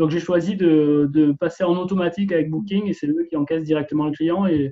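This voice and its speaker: This man talks at a fairly quick pace with fairly even intonation. His voice sits fairly high. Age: 40s. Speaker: real estate investor and paramedical worker. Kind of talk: interview. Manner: halting, many repetitions and fillers.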